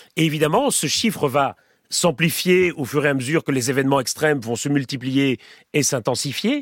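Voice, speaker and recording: On a very clean recording with a silent background, a man speaks at a fairly high pitch and moderate pace, with ordinary pitch variation and a dry, close sound with no echo. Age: 40s. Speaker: professor. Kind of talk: interview. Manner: halting.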